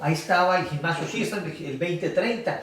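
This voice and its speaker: Noticeable background noise runs under the voice, and the room gives back an audible echo. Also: man. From Mexicali, Baja California, Mexico. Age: 60s. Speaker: sports official and teacher. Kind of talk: podcast interview. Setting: café. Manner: hesitant, many fillers.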